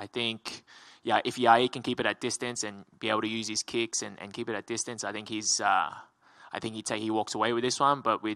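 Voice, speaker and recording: Against a quiet background, a bright, sharp voice in an Australian accent moves at a fairly quick pace with monotone, flat intonation. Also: man. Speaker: MMA fighter. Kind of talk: media interview. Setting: media day. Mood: relaxed, smiling. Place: hall. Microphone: handheld.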